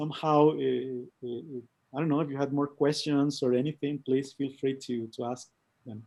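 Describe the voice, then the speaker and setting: Speaking in a Spanish accent, a man has a fairly high pitch and a dark, mellow tone. His intonation is monotone and flat, and his pace is moderate. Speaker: co-founder of an immersive design studio. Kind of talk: online presentation. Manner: halting, many fillers and repetitions.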